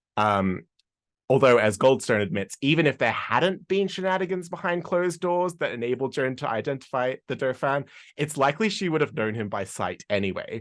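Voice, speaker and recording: A man with an Australian accent and a fairly high voice speaks with very wide pitch swings over a quiet background. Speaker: history podcaster and tour guide. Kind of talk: conference presentation.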